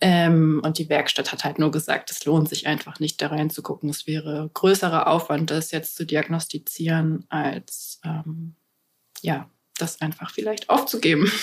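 Her pitch is very deep and low, and her intonation fairly even. The woman talks at a fairly slow pace. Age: 30s. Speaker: van traveller and mother. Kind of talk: casual chat.

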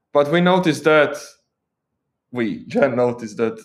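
Ordinary pitch variation marks a man's fairly slow delivery. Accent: Croatian. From Croatia. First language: Croatian. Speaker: tech content creator and software engineer. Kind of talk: casual interview.

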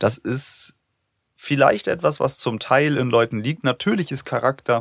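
Dry and close with no echo, a man speaks fairly slowly with ordinary pitch variation. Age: 30s. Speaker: podcast host. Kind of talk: casual chat.

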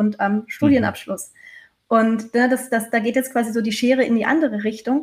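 Here is a woman with an ordinary speaking voice, fairly high in pitch, moving at a moderate pace with ordinary pitch variation. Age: 30s. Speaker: change management consultant. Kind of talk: casual interview chat.

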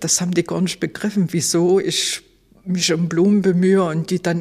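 Somewhat breathy and fairly low-pitched, a woman speaks with monotone, flat intonation. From Leipzig, Saxony, East Germany. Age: 60s. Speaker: former Stasi archive head, eyewitness. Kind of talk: interview testimony.

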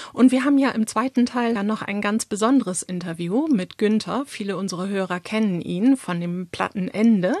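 Over noticeable background noise, a woman speaks at a moderate pace with ordinary pitch variation, in a dry, close sound with no echo. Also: medium pitch for a woman, hardly any pauses. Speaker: podcast host. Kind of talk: casual chat.

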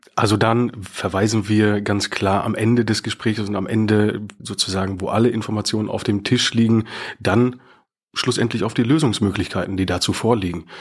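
Over a very clean recording with a silent background, a man with a plain, everyday voice speaks at a moderate pace, his fairly low pitch carrying fairly even intonation. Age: 30s. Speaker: bank mortgage advisor. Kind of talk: casual interview.

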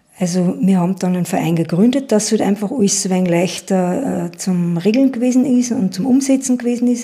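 A woman talks at a fairly quick pace with hardly any pauses, and noticeable background noise runs underneath. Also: medium pitch for a woman, ordinary pitch variation. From Upper Austria, Schärding. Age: 50s. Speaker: entrepreneur and environmental volunteer. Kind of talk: interview. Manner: halting.

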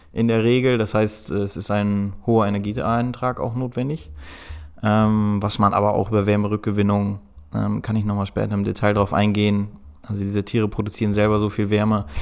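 Monotone and flat, a man's voice moves at a moderate pace in a very clean recording with a silent background. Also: fairly low pitch for a man. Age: 30s. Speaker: agricultural engineer at insect farming company. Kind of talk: interview.

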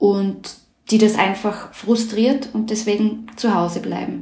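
The delivery comes at a fairly slow pace with monotone, flat intonation. Room echo is audible. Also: woman. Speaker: political journalist. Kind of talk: interview.

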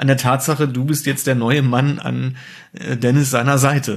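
Somewhat breathy male voice at medium pitch and a fairly quick pace. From Germany, rural village. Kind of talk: casual chat. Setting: home dining room.

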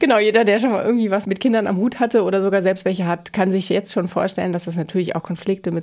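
A woman's medium-pitched voice with fairly even intonation, an unremarkable speaking voice. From rural Germany. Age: 40s. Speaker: interior designer. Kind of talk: casual chat.

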